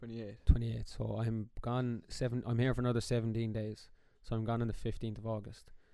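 A man's medium-pitched, monotone, flat voice at a moderate pace, with an Irish accent. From Ireland. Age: 20s. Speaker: podcast co-host, teacher. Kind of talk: casual chat.

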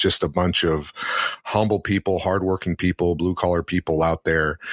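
Here a man talks with a very deep, low pitch. His intonation stays fairly even. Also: dry, close sound with no echo. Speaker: auto dealership service manager. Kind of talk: casual chat.

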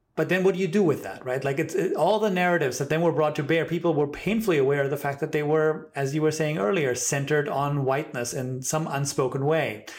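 Over noticeable background noise, a man with a fairly high pitch and ordinary pitch variation talks at a very fast pace with hardly any pauses. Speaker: podcast host. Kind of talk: casual interview, chatty.

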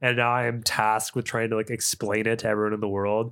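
A man speaks at a very fast pace. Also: very clean recording, silent background. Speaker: podcast host. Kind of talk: casual chat. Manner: casual, chatty.

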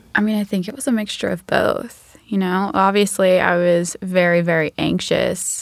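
A woman with an unremarkable speaking voice talks at a fairly slow pace, her pitch fairly low and her intonation fairly even. The recording is very clean, with a silent background. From US South, Georgia (Macon). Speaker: emergency medicine resident. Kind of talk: casual chat.

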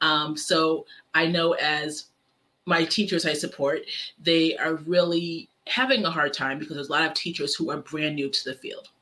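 This woman has an unremarkable speaking voice with a fairly low pitch. She talks at a moderate pace. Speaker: special education teacher and coach. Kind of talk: podcast interview.

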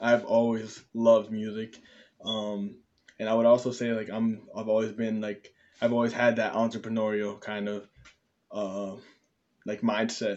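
A man with an American accent speaks at a moderate pace in a medium pitch, his intonation monotone and flat, with long, frequent pauses. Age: young. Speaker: YouTuber and podcaster. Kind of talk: casual self-introduction monologue. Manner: rambling with many fillers.

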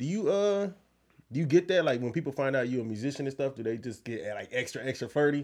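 A man speaks very fast in an animated tone at a fairly high pitch. The background is quiet. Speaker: podcast host. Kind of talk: casual chat.

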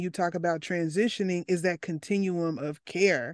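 A woman with an American accent, medium pitch and ordinary pitch variation, in a dry, close sound with no echo against a quiet background. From US South, Arkansas. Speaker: podcast host, mental health student. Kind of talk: interview conversation.

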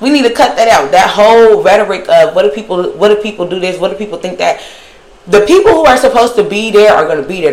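Talking at a very fast pace in an animated tone, a woman is heard with audible room echo and noticeable background noise. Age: 20s. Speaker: podcast host. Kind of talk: solo monologue.

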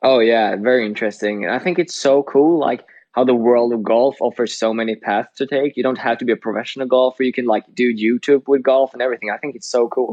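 Talking very fast with hardly any pauses, a man with a Swedish accent keeps a medium pitch and fairly even intonation. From Sweden. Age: 20s. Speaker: podcast co-host and college golfer. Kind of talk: casual chat.

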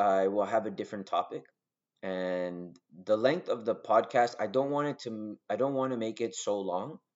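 A man speaks in a plain, everyday voice with a Canadian accent. His pitch is medium with ordinary variation, and his pace is moderate. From Argentina. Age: 20s. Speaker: podcast host, social worker. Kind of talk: solo podcast monologue. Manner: casual, with many filler words.

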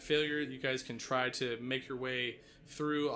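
A passage is read aloud in a natural voice. Pitch movement remains fairly even.

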